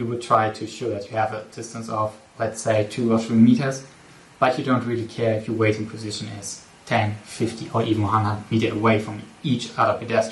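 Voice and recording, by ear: A man's fairly low voice at a fairly quick pace, with little pitch movement and audible room echo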